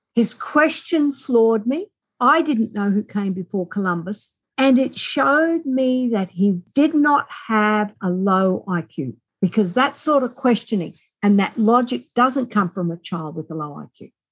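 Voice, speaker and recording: An Australian accent comes through as a woman speaks at a fairly slow pace and a fairly high pitch. Her voice is somewhat breathy, with very wide pitch swings. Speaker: author and reading specialist. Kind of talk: interview.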